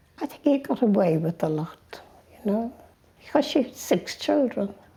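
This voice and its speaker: A woman's loudness shifts a lot as she talks at a fairly high pitch with very wide pitch swings. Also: moderate pace. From Ireland, Dublin. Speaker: interviewee in a documentary. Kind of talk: personal life story told to camera.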